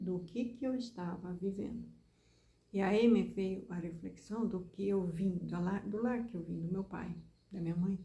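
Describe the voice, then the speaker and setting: A woman's somewhat breathy, dark, mellow voice at medium pitch, with fairly even intonation, a fairly slow pace and audible room echo. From southern Brazil, Rio Grande do Sul. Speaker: preacher. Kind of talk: sermon-style talk.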